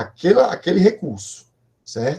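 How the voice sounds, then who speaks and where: A man speaks with a dark, mellow tone and a somewhat breathy quality. His pitch swings very widely. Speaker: professor, computer networks researcher. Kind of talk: online lecture. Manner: fast; hesitant, many fillers.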